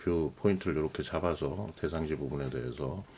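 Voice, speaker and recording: Talking with vocal fry, a man speaks at a very fast pace. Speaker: lighting designer tutorial host. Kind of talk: tutorial. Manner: casual, filler-heavy with self-corrections.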